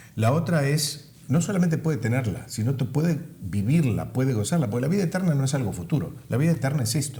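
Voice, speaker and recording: Speaking very fast with hardly any pauses and lively intonation, the voice carries audible room echo. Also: man, fairly high pitch for a man. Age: 70s. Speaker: pastor. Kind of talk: interview.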